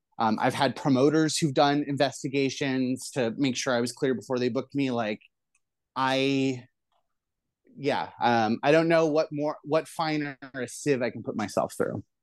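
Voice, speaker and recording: Against a quiet background, a woman talks at a moderate pace in a very deep, low pitch. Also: fairly even intonation. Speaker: pro wrestler and show producer. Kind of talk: interview.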